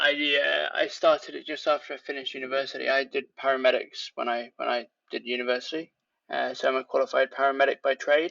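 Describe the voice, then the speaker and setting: A man with a British accent at a very fast pace. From England. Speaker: leatherworker. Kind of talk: casual interview.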